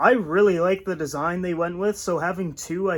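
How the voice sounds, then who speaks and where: A man talks at a fairly quick pace in a high pitch. His tone is relaxed. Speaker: tech reviewer. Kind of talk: product review vlog. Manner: casual, relaxed; loud.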